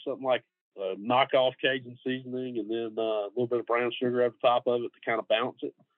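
A man with a Georgia accent and a medium pitch, talking at a very fast pace. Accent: US Southern (Georgia). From Middle Georgia. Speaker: barbecue pitmaster. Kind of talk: casual interview chat.

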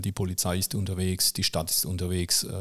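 This man's voice is very deep and low in pitch. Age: 50s. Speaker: municipal technical services manager and club chronicler. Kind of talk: casual interview. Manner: frequent hesitations (äh, ähm).

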